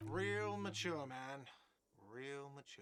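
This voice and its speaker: Using a whiny, put-on character voice, a man speaks at a medium pitch. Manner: sarcastic, shouting.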